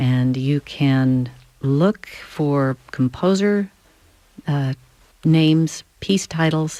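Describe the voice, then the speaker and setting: A woman speaks with a very deep, low pitch, a dark, mellow tone and ordinary pitch variation. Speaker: classical radio host. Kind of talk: radio station identification.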